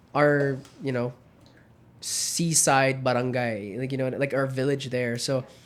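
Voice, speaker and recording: Over noticeable background noise, a man with an American accent talks in a monotone, flat intonation. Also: medium pitch for a man, fairly slow pace. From Germany (countryside), British-Filipino third culture kid. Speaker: podcast host. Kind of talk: casual chat.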